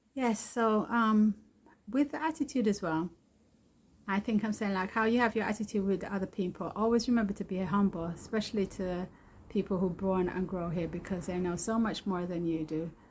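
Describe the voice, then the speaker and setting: A woman talks at a moderate pace with a medium pitch and ordinary pitch variation. Her voice is somewhat breathy. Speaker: video blogger, returnee to Jamaica. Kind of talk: casual vlog monologue. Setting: outdoors.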